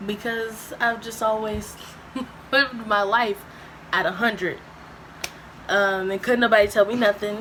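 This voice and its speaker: Noticeable background noise surrounds a woman with a fairly high pitch and monotone, flat intonation. She talks at a fairly slow pace with long, frequent pauses. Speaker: YouTuber. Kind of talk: casual chat. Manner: loud, boisterous.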